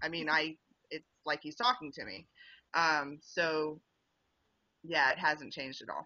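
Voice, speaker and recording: Pausing long and often, a woman with a slight Southern US accent speaks fairly slowly in a very deep, low pitch, with ordinary pitch variation and big swings in loudness. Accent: slight Southern drawl. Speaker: author. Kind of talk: interview.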